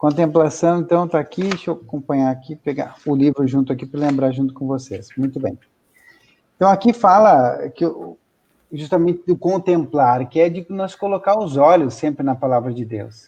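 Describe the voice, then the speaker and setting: A man's fairly high, dark, mellow voice at a moderate pace with ordinary pitch variation. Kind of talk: interview answer.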